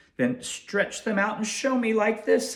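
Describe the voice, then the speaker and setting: A man's high-pitched, put-on character voice. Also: moderate pace. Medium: read story. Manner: teasing, boastful.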